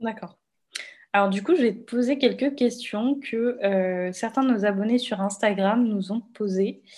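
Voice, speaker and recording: The speaker goes at a fairly slow pace, sounding somewhat breathy, with ordinary pitch variation. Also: woman, fairly high pitch for a woman. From Réunion. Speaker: podcast host. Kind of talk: interview.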